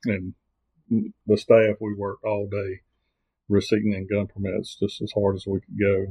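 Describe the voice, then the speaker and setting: Somewhat breathy, a man speaks at a fairly low pitch in an American accent. His moderate pace has long, frequent pauses, and his intonation is monotone and flat. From US South, southern Virginia. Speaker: circuit court clerk, former state trooper. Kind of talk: interview about local records.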